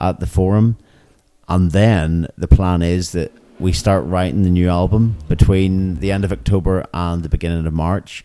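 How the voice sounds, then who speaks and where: A man speaks in a Northern Irish accent with a very deep, low pitch and a dark, mellow tone, at a moderate pace. His intonation is fairly even, and the recording is very clean with a silent background. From Northern Ireland. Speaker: punk rock musician. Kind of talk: interview. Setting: music venue.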